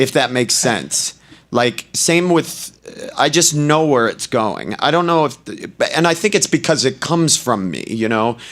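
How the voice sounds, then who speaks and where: With vocal fry and lively intonation, a man speaks at a fairly high pitch and a fairly slow pace. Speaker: stand-up comedian. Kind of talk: casual interview. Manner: loud.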